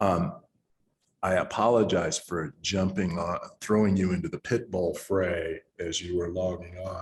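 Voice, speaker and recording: This man's voice sits at a very deep, low pitch and is somewhat breathy. His intonation stays fairly even. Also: fairly slow pace. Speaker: conference moderator. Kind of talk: conference Q&A.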